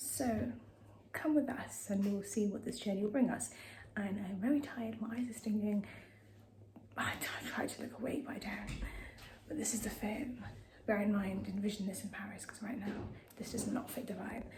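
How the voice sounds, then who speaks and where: Soft-spoken, a woman talks at a moderate pace in a fairly high pitch with long, frequent pauses, over noticeable background noise and audible room echo. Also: ordinary pitch variation. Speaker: vlogger. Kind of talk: travel vlog.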